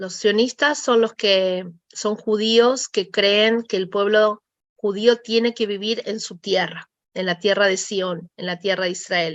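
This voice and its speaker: Speaking very slowly in a Rioplatense accent, a woman keeps a medium pitch and fairly even intonation. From Argentina, Buenos Aires. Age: 40s. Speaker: interviewee, mother of soldiers. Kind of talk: interview testimony.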